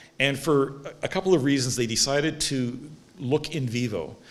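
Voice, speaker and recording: Audible room echo colors the recording. The speaker is a man. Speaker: stem cell researcher, award laureate. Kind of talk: lecture. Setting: stage with audience. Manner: fast.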